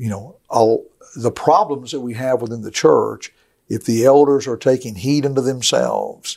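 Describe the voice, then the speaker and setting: Speaking with a Southern US accent, a man uses a medium pitch, ordinary pitch variation and a fairly slow pace. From rural US. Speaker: preacher and gospel radio director. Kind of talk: podcast interview.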